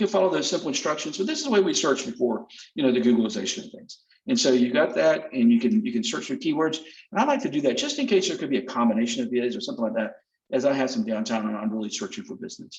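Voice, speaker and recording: Very fast delivery in a Southern US accent, with very wide pitch swings and big swings in loudness. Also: man, fairly high pitch for a man. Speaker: sales representative. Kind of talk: product demonstration. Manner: casual, conversational.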